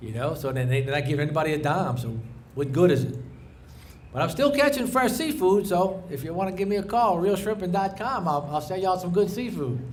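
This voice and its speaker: Audible room echo surrounds a man talking at a very fast pace. His intonation is lively. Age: 60s. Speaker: commercial fisherman. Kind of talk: rally speech.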